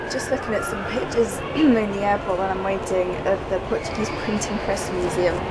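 Against loud background noise, a woman talks at a moderate pace. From England. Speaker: vlogger. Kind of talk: casual vlog talk to camera. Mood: cheerful, chatty. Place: station. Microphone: phone near.

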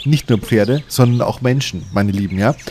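A man's medium-pitched voice at a fairly quick pace, slightly mellow in tone, with ordinary pitch variation.

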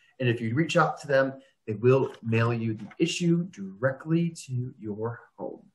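A man with an American accent speaks at a fairly slow pace, his somewhat breathy voice showing ordinary pitch variation and big swings in loudness. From Florida. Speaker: business development director at a home care agency, video series host. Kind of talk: casual conversational web video interview. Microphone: video call.

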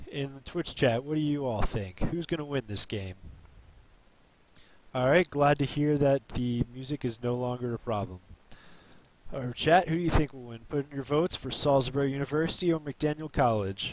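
A man at a moderate pace, with ordinary pitch variation and dry sound with no echo. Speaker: stream commentator. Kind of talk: commentary.

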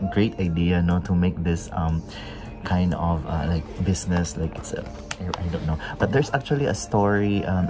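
A man's very deep, low voice over clear music in the background. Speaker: travel vlogger. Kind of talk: casual vlog chat. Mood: relaxed, pleased. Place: cafe.

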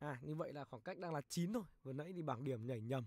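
Here a man talks with a fairly high pitch. His pitch varies in an ordinary way. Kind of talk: live sports commentary. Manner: fast, animated play-by-play, calling each shot; casual, chatty, greets viewers warmly.

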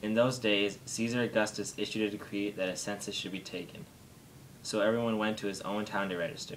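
Over light background noise, a man talks at a fairly quick pace. His voice is fairly low and monotone, with flat intonation. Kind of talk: reading aloud a nativity passage. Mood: calm, steady holiday reading. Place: home room.

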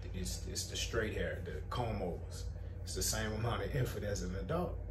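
With noticeable background noise around him, a man speaks at a moderate pace. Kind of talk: casual advice talk. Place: shop. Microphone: camera far.

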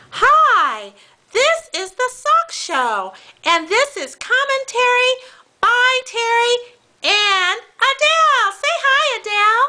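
A female-sounding cartoonish character voice speaks at an extremely high pitch. The pace is very slow. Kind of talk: homemade puppet show hosting. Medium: puppet show. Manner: excitable, gasping.

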